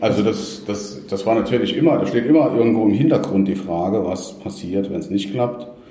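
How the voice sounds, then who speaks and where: Fairly low male voice with audible room echo. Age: 50s. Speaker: company founder and former managing director. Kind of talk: interview. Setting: in-person conversation in Munich.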